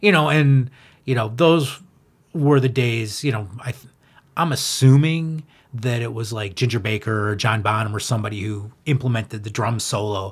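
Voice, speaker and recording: At a medium pitch and moderate pace, a man speaks in a somewhat breathy voice with ordinary pitch variation and big swings in loudness. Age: 50s. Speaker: punk-influenced rock musician. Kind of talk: casual interview.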